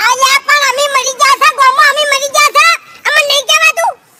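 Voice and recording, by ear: In a cartoonish character voice with extremely high pitch, the speaker goes at a moderate pace.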